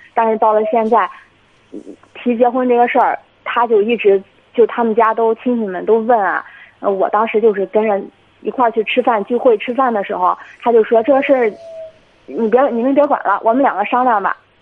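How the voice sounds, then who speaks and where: A woman with a fairly high voice speaks at a fairly quick pace in a fairly even tone, leaving long, frequent pauses over noticeable background noise. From Jinan, Shandong, China. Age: 20s. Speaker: caller. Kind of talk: phone-in advice call.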